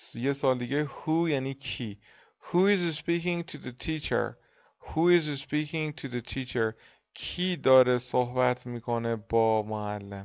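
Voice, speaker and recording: Ordinary pitch variation and a fairly slow pace in an ordinary speaking voice. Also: man, medium pitch for a man. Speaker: English teacher. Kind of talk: lecture.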